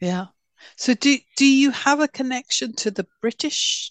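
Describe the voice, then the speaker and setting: With a southern English accent, a woman speaks at a moderate pace with ordinary pitch variation, in a dry, close sound with no echo against a quiet background. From London. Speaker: podcast co-host. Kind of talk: interview conversation.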